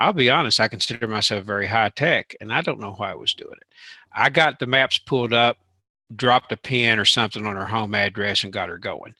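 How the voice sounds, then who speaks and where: Bright and sharp in tone, a man with a Southern US accent talks at a fairly quick pace. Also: medium pitch for a man, ordinary pitch variation, dry, close sound with no echo. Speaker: tech show co-host. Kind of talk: casual chat.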